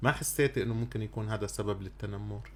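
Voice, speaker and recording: With a Syrian accent, a man speaks at a moderate pace in a somewhat breathy voice with fairly low pitch. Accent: Syrian Arabic (Levantine). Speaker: radio podcast host. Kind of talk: radio interview. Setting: radio studio, on air.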